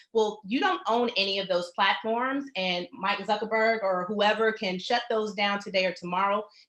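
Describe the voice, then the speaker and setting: Speech runs on with hardly any pauses and fairly even intonation against noticeable background noise. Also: woman, medium pitch for a woman. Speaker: web designer and workshop presenter. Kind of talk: webinar presentation. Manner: fast.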